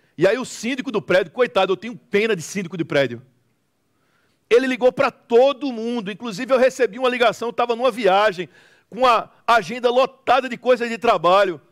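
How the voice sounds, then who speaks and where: A man with a northeastern Brazilian accent talks at a fairly quick pace, his pitch extremely high with ordinary variation. The sound is dry and close with no echo, and the recording is very clean with a silent background. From Recife, northeastern Brazil. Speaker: preacher. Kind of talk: sermon.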